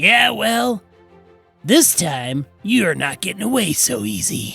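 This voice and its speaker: A man uses a put-on character voice with a fairly high pitch. He goes at a fairly slow pace while faint music plays in the background. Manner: menacing, taunting.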